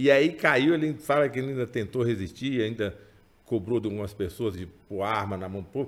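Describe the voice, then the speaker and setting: A man's medium-pitched, ordinary speaking voice, at a moderate pace with ordinary pitch variation. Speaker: writer of chronicles, member of political family. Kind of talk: casual interview.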